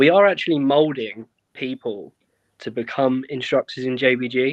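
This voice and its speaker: A man speaks with a British accent. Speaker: airsoft event co-owner and instructor, ex-military. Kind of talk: casual podcast chat. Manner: calm, quiet.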